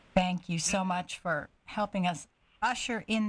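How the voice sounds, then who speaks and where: The voice belongs to a woman and is somewhat breathy. She keeps a moderate pace and ordinary pitch variation. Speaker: radio host. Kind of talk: radio interview.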